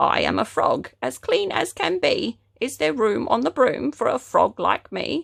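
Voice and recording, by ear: A put-on, croaky character voice at a moderate pace with hardly any pauses.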